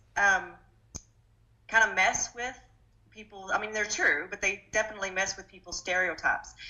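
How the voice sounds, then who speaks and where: At a moderate pace, a woman with an Arkansas accent talks at a medium pitch. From Arkansas, US South. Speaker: political candidate. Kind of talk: interview.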